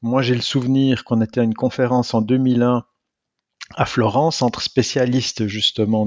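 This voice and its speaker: Here a man talks in a normal speaking voice at a medium pitch. He keeps a moderate pace and a fairly even intonation. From Switzerland, canton of Neuchâtel. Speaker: physics professor, atomic clock specialist. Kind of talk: interview.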